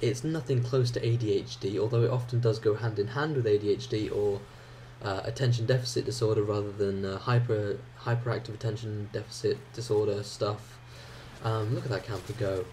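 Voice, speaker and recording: Somewhat breathy with a dark, mellow tone, a man speaks at a fairly quick pace with fairly even intonation. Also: medium pitch for a man. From England (childhood partly in Ireland). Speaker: gaming YouTuber. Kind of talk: gameplay commentary. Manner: hesitant, many fillers.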